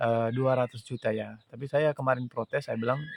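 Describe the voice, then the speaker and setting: The sound is dry and close with no echo as a man speaks at a medium pitch with fairly even intonation. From Pakistan. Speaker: widower seeking justice. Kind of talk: personal testimony appeal. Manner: halting, many fillers.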